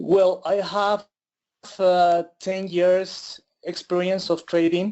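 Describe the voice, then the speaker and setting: At a very slow pace, a man speaks in a high pitch with monotone, flat intonation. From Ecuador. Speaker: forex trader. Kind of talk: interview. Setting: online webinar. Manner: halting with many fillers.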